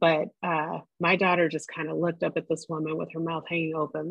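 A woman with vocal fry talks at a moderate pace and a fairly low pitch. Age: 40s. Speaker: podcast host. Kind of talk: casual chat.

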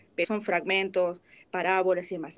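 A woman with a Rioplatense accent. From Argentina. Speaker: voice actor. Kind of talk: interview.

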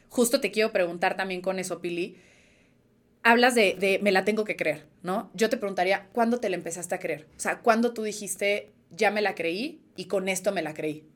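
On a very clean recording with a silent background, a woman with an unremarkable speaking voice talks at a moderate pace, her medium pitch showing ordinary variation. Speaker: podcast host. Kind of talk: casual interview.

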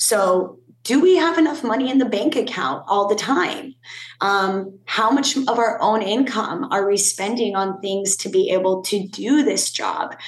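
A woman's fairly slow, lively-intoned voice amid noticeable background noise. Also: fairly high pitch for a woman. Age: 30s. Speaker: fitness instructor and union advocate. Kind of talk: interview.

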